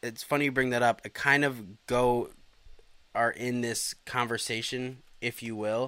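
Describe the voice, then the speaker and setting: A bright, sharp tone at a fairly slow pace. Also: man. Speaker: live-stream co-host. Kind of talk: casual chat. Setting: home live stream. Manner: joking.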